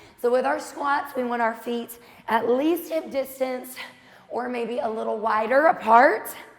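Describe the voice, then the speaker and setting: A woman's energetic, high-pitched voice at a moderate pace with ordinary pitch variation, over noticeable background noise. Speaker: fitness instructor. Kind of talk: workout instruction. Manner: energetic, encouraging.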